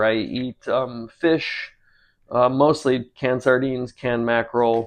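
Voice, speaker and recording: At a fairly slow pace, a man speaks at medium pitch with fairly even intonation. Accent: American. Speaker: cooking and drawing channel host. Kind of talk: casual vlog chat. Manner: halting, many fillers.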